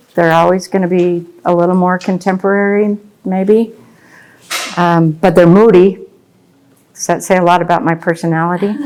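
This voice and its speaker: A soft-spoken woman with an American accent talks at a medium pitch in a flat monotone. Her speech breaks often into long pauses. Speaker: landscape painter. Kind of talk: painting demonstration. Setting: gallery with live audience. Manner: slow.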